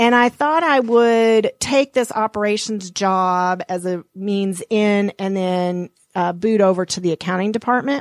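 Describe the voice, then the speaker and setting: With an American accent, a woman uses a plain, everyday voice at medium pitch, moving at a fairly slow pace with hardly any pauses and ordinary pitch variation in a dry, close sound with no echo. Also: quiet background. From Montana. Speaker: financial advisor and author. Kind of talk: interview.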